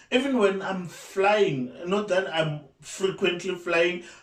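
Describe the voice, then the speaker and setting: Loud and high-pitched, a man speaks very slowly against noticeable background noise. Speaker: YouTuber. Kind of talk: casual vlog talk. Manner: halting.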